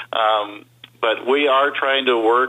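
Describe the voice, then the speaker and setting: A man with an American accent talks at a fairly slow pace. He has an unremarkable speaking voice. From Burbank, California. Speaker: nature sanctuary executive director. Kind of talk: radio interview.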